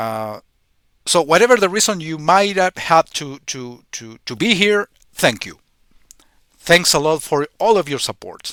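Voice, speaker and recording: A man with a non-native accent and a fairly high pitch speaks at a fairly slow pace with long, frequent pauses. His voice has very wide pitch swings and big swings in loudness, in a dry, close sound with no echo. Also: very clean recording, silent background. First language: Spanish. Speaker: YouTuber, retro gaming commentator. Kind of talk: casual vlog monologue. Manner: halting, many repetitions and fillers.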